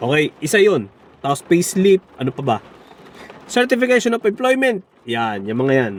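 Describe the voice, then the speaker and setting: A man's high-pitched voice with very wide pitch swings, at a moderate pace, in a dry, close sound with no echo and noticeable background noise. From Philippines. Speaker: vlogger. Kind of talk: casual vlog. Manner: halting.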